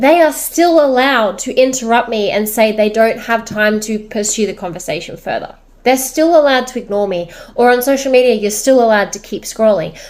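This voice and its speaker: A plain, everyday voice: a woman at a fairly high pitch, with ordinary pitch variation and a fairly quick pace. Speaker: social media creator and business owner. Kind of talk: personal vlog monologue.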